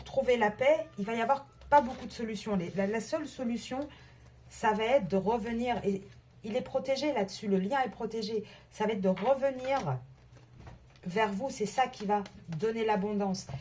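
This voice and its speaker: A woman's fairly high voice at a moderate pace, with long, frequent pauses and ordinary pitch variation. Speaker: tarot card reader. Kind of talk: tarot reading video. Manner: halting, many repetitions.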